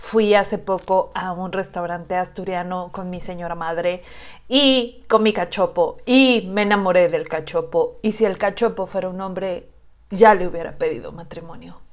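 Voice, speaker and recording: On a very clean recording with a silent background, a woman with a Mexican accent speaks at a moderate pace, with medium pitch, ordinary pitch variation and big swings in loudness. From Xalapa, Veracruz, Mexico. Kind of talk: casual reaction video talk to camera.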